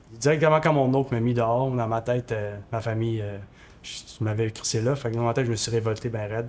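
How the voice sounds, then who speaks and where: A man speaks with a Quebec accent at a very fast pace. His intonation is monotone and flat. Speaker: former homeless person. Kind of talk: testimony. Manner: halting.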